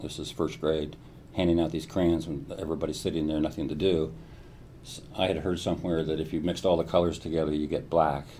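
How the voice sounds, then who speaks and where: Talking very fast in an American accent, a man with a very deep, low pitch and a dark, mellow tone keeps a flat monotone while room echo is audible. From US Midwest (Columbus, Ohio). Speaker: neuroscientist. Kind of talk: interview. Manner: hesitant, frequent fillers and repetitions.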